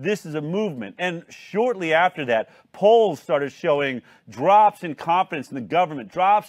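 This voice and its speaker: A man's speech has lively intonation, with a quiet background behind him. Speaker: talk show host. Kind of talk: hosted news talk show. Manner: animated. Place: studio. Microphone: lapel.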